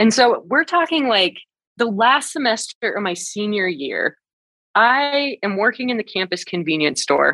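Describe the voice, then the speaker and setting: A woman with an American accent, fairly slow pace and very wide pitch swings. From northern Great Plains, US. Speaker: science communicator. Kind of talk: interview.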